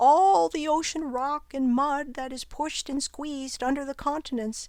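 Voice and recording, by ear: A woman performs a put-on character voice on a very clean recording with a silent background.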